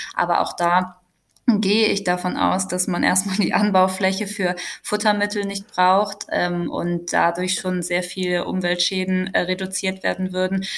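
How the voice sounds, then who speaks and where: The woman speaks at a fairly slow pace with a medium pitch. Her intonation is monotone and flat. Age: 20s. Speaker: social worker. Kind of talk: casual chat.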